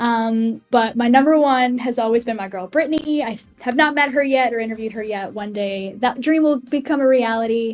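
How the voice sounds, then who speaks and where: Over music in the background, a woman speaks in a high pitch with hardly any pauses. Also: ordinary pitch variation, fairly quick pace. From Massachusetts, New England. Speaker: music journalist. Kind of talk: podcast interview. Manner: rambling, many fillers.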